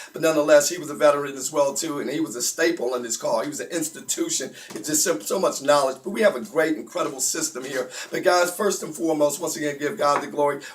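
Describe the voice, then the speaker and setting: A very fast, fairly high-pitched man's voice with hardly any pauses and ordinary pitch variation, over noticeable background noise. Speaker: conference call host. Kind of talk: live broadcast hosting. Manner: animated.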